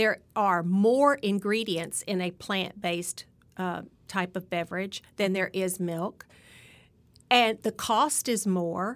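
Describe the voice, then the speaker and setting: A woman with a Southern US accent speaks at a very slow pace, her medium pitch showing ordinary variation. The recording is very clean and the background silent. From Alabama. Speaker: dietitian. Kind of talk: interview.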